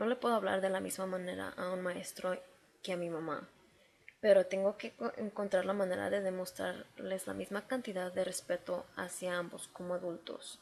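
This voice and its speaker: A woman talks at a moderate pace in a medium pitch with fairly even intonation. She has an ordinary speaking voice. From Mexico City, later Chicago. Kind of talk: class presentation.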